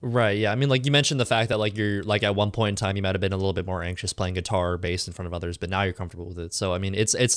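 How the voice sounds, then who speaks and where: A man's fairly low voice at a very fast pace, with ordinary pitch variation, on a very clean recording with a silent background. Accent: American. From California. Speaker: podcast host. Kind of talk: interview.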